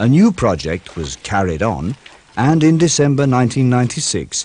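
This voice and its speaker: His pitch swings very widely as this man speaks. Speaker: documentary narrator. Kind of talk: vintage documentary narration, scripted technical voiceover. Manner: formal, even and measured; matter-of-fact, brisk and informative, like a corporate film.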